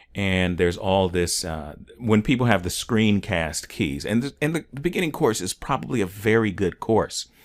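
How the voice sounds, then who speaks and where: A normal speaking voice, a man with fairly low pitch and lively intonation, moderate pace with hardly any pauses, on a very clean recording with a silent background. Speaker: online course instructor. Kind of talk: tutorial. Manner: casual, filler words.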